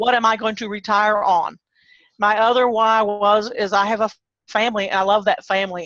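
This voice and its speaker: A woman with an American accent speaks at a moderate pace and medium pitch. Her intonation is monotone and flat. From Texas. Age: 60s. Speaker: online marketer, former small business owner. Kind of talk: interview. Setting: video call.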